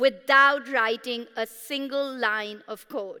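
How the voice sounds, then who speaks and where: A woman with a Pashto accent, a high pitch, a raised, projected voice and a bright, sharp tone. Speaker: startup founder. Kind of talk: sales pitch. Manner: animated.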